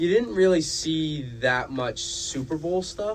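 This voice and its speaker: Noticeable background noise accompanies a man speaking with ordinary pitch variation. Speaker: student podcast co-host. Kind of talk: casual chat.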